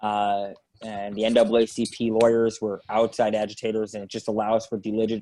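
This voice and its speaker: A man speaks in a dark, mellow tone at a fairly quick pace. His intonation stays flat and monotone. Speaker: state legislator. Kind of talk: panel discussion. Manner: loud.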